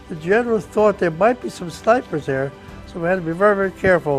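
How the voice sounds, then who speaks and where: Someone with an American accent talks at a fairly quick pace over music in the background. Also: man. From New Jersey. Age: 80s+. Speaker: war veteran. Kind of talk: interview answer.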